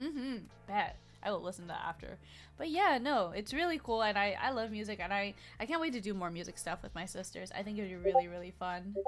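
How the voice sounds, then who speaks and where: A woman's medium-pitched voice at a very fast pace, animated in tone and lively in intonation, with music in the background. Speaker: vtuber streamer. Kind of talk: casual chat. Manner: fast, slurred words.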